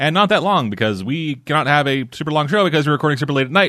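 Over a quiet background, a man speaks at a fairly high pitch in a bright, sharp tone with vocal fry, his pitch swinging very widely. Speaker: podcast host. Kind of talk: casual chat.

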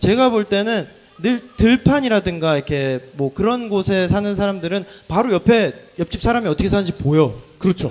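A high-pitched man speaks with lively intonation at a moderate pace, and noticeable background noise is present. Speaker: travel storyteller, one of a trio of travelers. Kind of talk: live recorded talk before an audience.

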